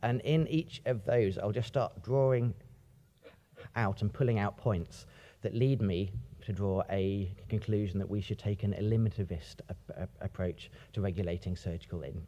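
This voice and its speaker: A man with a British accent talks at a moderate pace and fairly low pitch, with ordinary pitch variation and a dark, mellow tone. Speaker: academic ethicist. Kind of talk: conference talk. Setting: stage with audience. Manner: pauses, repeats words.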